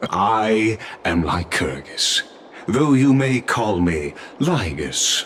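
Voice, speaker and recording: Using a put-on character voice at medium pitch, a man speaks at a very slow pace over clear background noise. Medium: video game. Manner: urbane, chuckling.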